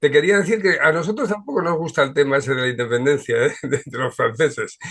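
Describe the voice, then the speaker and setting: A man with a fairly high pitch talks at a very fast pace with lively intonation. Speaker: show host. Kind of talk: video call discussion.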